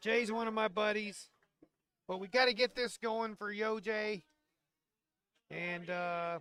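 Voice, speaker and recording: Speaking at a fairly slow pace with long, frequent pauses, a man uses a raised, projected voice that is high-pitched for a man, bright and sharp in tone, with fairly even intonation and big swings in loudness. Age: 60s. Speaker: bowling shop owner and league organizer. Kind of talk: live stream chat.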